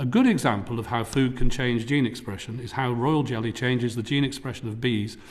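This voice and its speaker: Fairly quick speech with an English accent. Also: man. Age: 60s. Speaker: tech entrepreneur. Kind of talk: formal presentation. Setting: parliamentary committee hearing. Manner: formal.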